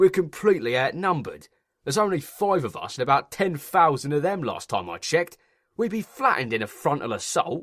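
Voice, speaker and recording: On a very clean recording with a silent background, a man does a gruff, growling put-on character voice, pitched high with very wide pitch swings, at a fairly quick pace. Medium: read story.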